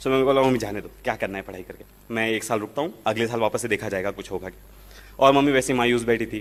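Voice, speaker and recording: A man of medium pitch keeps a fairly even intonation. His loudness swings widely. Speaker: IAS officer. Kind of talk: testimony. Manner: halting.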